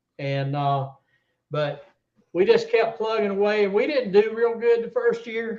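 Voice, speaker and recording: With a Southern US accent, a man talks at a moderate pace. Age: 60s. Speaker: tournament catfish angler. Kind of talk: casual interview chat.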